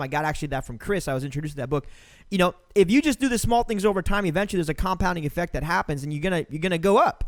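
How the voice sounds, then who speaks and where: Speaking very fast and loud in a high voice, a man sounds animated, with ordinary pitch variation on a very clean recording with a silent background. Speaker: podcast host. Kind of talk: casual chat.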